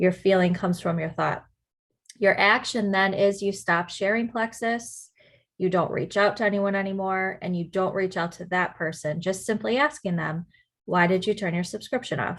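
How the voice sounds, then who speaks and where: A woman with a medium pitch talks in a normal speaking voice at a moderate pace, with ordinary pitch variation and a quiet background. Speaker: network marketing team leader. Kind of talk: team training call.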